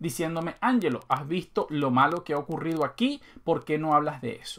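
A man speaks at a fairly quick pace with lively intonation and a fairly high pitch, against a quiet background. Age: 30s. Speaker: gaming YouTuber; gaming video creator. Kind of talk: casual monologue to viewers. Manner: conversational, with fillers. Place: home room.

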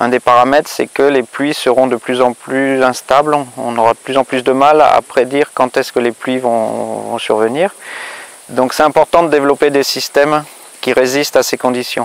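Speaking at a moderate pace with monotone, flat intonation, a man is heard in a dry sound with no echo. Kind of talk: interview answer. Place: farm machine.

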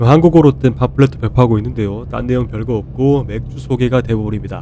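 Over noticeable background noise, a man with a fairly low pitch talks at a very fast pace with very wide pitch swings. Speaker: beer vlogger. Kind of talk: vlog narration.

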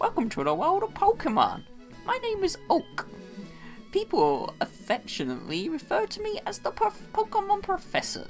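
Someone performs a put-on character voice at a moderate pace. Clear music plays in the background. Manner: warm, welcoming.

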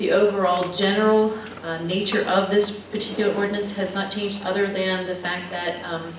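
Amid noticeable background noise and audible room echo, a woman talks at a fairly quick pace and medium pitch with monotone, flat intonation. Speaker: city planning and zoning staff. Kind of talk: presentation at city council meeting. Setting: city council meeting. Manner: soft-spoken.

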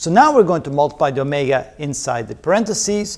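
At a fairly quick pace, a man talks with big pitch swings and a fairly high pitch. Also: slightly mellow tone.

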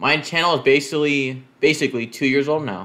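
Pitch varies in an ordinary way as a man speaks at a moderate pace. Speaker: youtuber. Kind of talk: casual vlog chat. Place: home room. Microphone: webcam.

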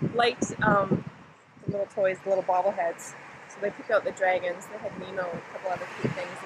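A woman rushes through her words at a very fast speed while loud background noise plays behind her. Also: dry sound with no echo. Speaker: travel vlogger. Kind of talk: casual vlog chat. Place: beach. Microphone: phone near.

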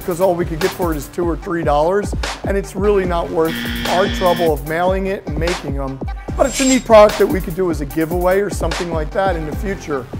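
Over clear background music, a man speaks at a very fast pace. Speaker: maker show host. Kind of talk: tutorial. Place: workshop. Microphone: lapel.

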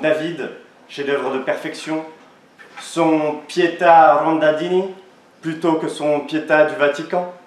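A man talks at a very slow pace with fairly even intonation. There is audible room echo. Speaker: law student orator. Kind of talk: oratory contest speech; audience Q&A. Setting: stage with audience. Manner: declamatory. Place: hall. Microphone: camera far.

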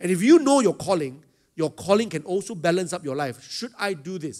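A man's plain, everyday voice with lively intonation at a moderate pace. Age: 50s. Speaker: pastor. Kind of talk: sermon. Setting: stage with audience.

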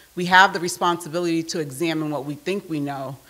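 In an ordinary speaking voice, a woman talks at a moderate pace with a fairly low pitch and fairly even intonation. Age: 40s. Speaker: nonprofit executive, keynote speaker. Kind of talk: keynote speech. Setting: stage with audience. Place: meeting room. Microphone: podium.

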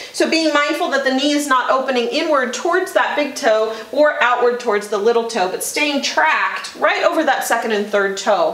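Audible room echo hangs around a woman who talks at a moderate pace. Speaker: yoga teacher. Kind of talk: guided yoga instruction. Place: gym.

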